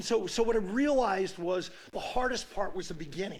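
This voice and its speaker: Speaking at a moderate pace, a man uses an animated tone with ordinary pitch variation. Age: 70s. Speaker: sports coach. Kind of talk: casual chat.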